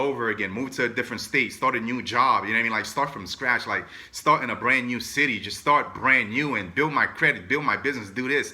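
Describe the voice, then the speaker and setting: A man speaks with a New York accent at a medium pitch. His pace is fairly quick, with ordinary pitch variation. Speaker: entrepreneur and motivational vlogger. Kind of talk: motivational talk. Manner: fast; casual, filler-heavy.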